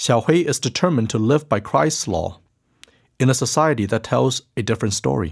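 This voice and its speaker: Very cleanly recorded against a silent background, a man speaks at a medium pitch with lively intonation and vocal fry. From China. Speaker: pastor and podcast narrator. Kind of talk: scripted narration; casual chat.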